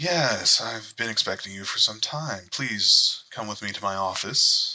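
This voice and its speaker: A put-on character voice from a man, fairly slow in pace. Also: medium pitch for a man. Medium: actual play. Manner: formal, polite.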